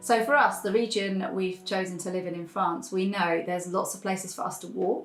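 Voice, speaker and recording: Over noticeable background noise, a woman talks at a medium pitch and a fairly quick pace, with fairly even intonation and hardly any pauses. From England. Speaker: YouTube channel co-host. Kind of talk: casual chat.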